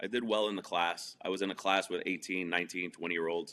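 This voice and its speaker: A man with a New York accent speaks at a fairly quick pace. His voice is very deep and low, with a bright, sharp tone. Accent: New York area American. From New Jersey, outside Manhattan. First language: Spanish. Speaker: entrepreneur and comedian. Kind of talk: interview.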